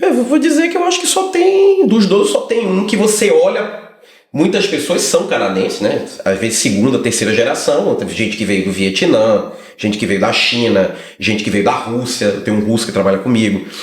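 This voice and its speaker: Noticeable background noise and audible room echo surround the man as he speaks. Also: moderate pace. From Brazil. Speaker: lawyer. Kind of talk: casual chat.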